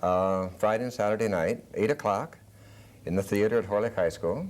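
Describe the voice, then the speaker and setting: A man speaks at a moderate pace with a plain, everyday voice. His pitch is fairly low and varies in an ordinary way. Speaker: high school drama teacher. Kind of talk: TV interview answer.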